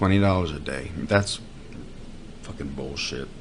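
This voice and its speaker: A man talks at a fairly slow pace, with noticeable background noise and audible room echo. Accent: American. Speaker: podcast host. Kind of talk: comedic monologue. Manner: mumbling, trails into lower voice; halting.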